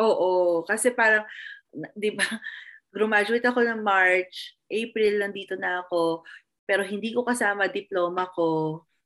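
This woman has a plain, everyday voice pitched in the medium range. She talks fairly slowly, with fairly even intonation. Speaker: behavior analyst. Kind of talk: casual chat.

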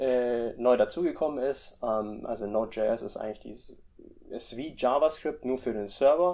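A man's medium-pitched voice, dark and mellow in tone, with ordinary pitch variation and a fairly slow pace. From Germany and Indonesia. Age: 20s. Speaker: freelance web developer. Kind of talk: interview. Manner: hesitant, many fillers.

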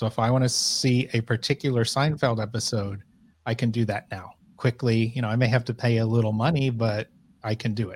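A man with an American accent talks at a fairly quick pace. His voice is somewhat breathy, and his intonation stays fairly even. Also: medium pitch for a man, very clean recording, silent background. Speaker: e-commerce content director. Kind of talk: interview.

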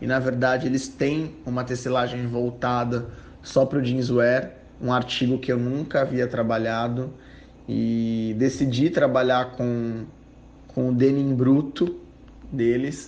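There is audible room echo around a man speaking fairly slowly. His medium-pitched voice stays monotone and flat. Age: 20s. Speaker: fashion designer. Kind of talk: personal testimony. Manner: hesitant with fillers.

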